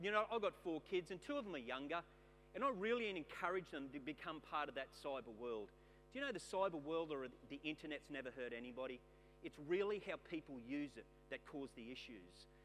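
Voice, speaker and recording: Over music in the background, a man with an Australian accent talks fairly fast and fairly high, his intonation lively. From Queensland, Australia. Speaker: keynote speaker, former police detective. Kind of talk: keynote talk. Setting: stage with audience.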